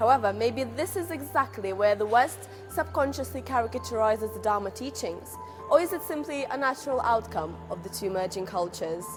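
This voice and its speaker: Background music can be heard throughout. The talking proceeds fairly quickly. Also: woman. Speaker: journalism student. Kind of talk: documentary narration.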